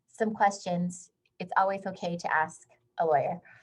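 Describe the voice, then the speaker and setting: Somewhat breathy, a woman at a medium pitch speaks at a fairly slow pace with fairly even intonation. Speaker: HR consultant and workshop presenter. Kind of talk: webinar lecture.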